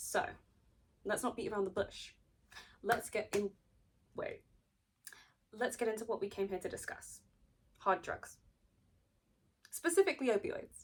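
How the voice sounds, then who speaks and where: A woman speaks with a British accent and a fairly high pitch, somewhat breathy. Her intonation is lively, broken by long, frequent pauses. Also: moderate pace. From Britain. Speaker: video essayist. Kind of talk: video essay, partly read from notes. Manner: casual, with fillers and self-corrections.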